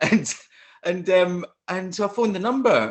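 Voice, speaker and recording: The pitch of this man's voice sits high. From Scotland, near Falkirk. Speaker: actor. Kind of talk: interview answers, storytelling. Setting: online live stream.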